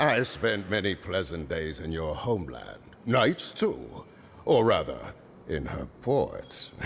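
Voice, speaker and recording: A man puts on a gruff character voice and speaks at a fairly slow pace, with clear background noise behind him. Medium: video game. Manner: rambling, nostalgic, theatrical.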